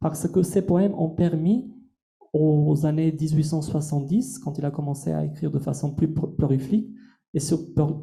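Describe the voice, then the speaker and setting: A man with an Albanian accent speaks at a moderate pace in a fairly high pitch, his tone dark and mellow. His intonation stays fairly even, and the room echo is audible. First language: Albanian (speaking French). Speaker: translator and lecturer. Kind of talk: masterclass lecture.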